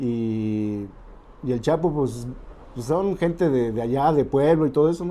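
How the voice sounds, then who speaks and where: This man's tone is dark and mellow, his pitch fairly high. He speaks fairly slowly with lively intonation. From Celaya, Mexico. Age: 60s. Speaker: football historian and radio host. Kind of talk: interview. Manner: halting.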